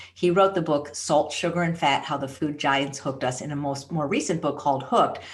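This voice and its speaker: A woman with a very deep, low pitch rushes along at a very fast pace amid audible room echo. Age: 60s. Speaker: plant-based chef and author. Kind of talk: interview.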